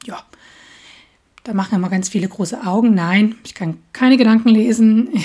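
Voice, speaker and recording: A woman with a fairly high pitch and a dark, mellow, somewhat breathy tone speaks with long, frequent pauses, ordinary pitch variation and big swings in loudness. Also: moderate pace. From Saxony, Dresden. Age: 30s. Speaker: podcast host. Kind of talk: casual monologue.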